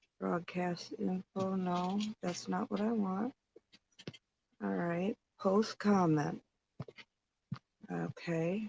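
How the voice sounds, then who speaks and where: Quiet and at a very slow pace with long, frequent pauses, a woman speaks at a medium pitch with ordinary pitch variation, in a dry, close sound with no echo. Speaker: livestream host. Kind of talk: casual livestream chat with viewers. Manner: quiet, subdued.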